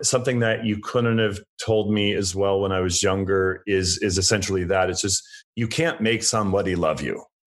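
A man with an unremarkable speaking voice talks at a fairly low pitch. His intonation is fairly even and his pace moderate. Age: 40s. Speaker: interior and landscape designer. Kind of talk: casual chat.

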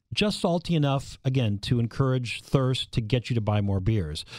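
A man speaks with a dark, mellow tone at a medium pitch and an American accent. His pitch moves in an ordinary way, and his pace is fairly quick. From Minnesota, US Midwest. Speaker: food writer and pizza expert. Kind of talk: interview.

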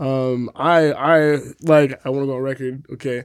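A man with a New York accent in a very clean recording with a silent background. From New York, the Bronx. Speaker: housing activist. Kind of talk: casual chat.

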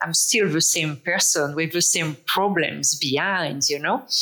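With a French accent and a fairly low pitch, a woman speaks at a fairly slow pace with ordinary pitch variation over noticeable background noise. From France. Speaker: author and speaker on microdosing. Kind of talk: interview.

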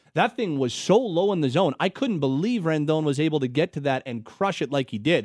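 With a Canadian accent, a man in a plain, everyday voice speaks at a moderate pace with fairly high pitch and lively intonation, the sound dry and close with no echo over a quiet background. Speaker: sports radio host. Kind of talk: sports talk radio. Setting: studio.

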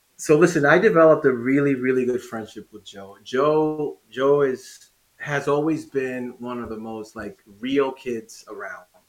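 This man has a medium-pitched voice. He speaks with a Spanish accent and ordinary pitch variation. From Dominican Republic. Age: 40s. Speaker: former pro inline skater. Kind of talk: casual interview. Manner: animated.

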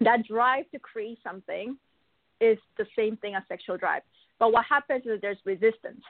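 A woman speaks with a plain, everyday voice. Her pitch is fairly high and her pace moderate. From Argentina (Buenos Aires), born in Korea, later Canada. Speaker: business and marketing coach. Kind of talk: interview.

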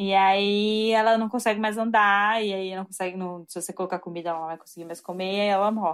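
A medium-pitched woman's voice with big swings in loudness, on a very clean recording with a silent background. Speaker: doctoral student in biology. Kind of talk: interview. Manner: animated.

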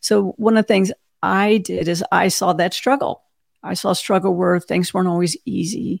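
A woman with an unremarkable speaking voice talks at a moderate pace and medium pitch with ordinary pitch variation, in a dry, close sound with no echo. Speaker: cybersecurity executive and podcaster. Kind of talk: casual interview. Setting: video call.

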